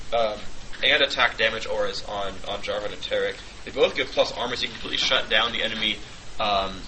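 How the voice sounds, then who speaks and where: A man rushes along at a very fast pace with noticeable background noise behind him. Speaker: esports commentator. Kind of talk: live commentary. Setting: studio with shared table microphone. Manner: quiet; hesitant with many fillers. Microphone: quiet, shared mic lying on table.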